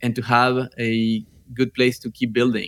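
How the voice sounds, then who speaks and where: Speaking at a medium pitch, a man has a Spanish accent. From northern Argentina. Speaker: startup founder. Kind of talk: interview conversation.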